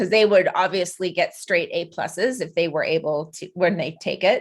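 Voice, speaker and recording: With a Canadian accent and a plain, everyday voice, a woman speaks at a moderate pace with lively intonation over a quiet background. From western Canada. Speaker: podcast host. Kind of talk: interview.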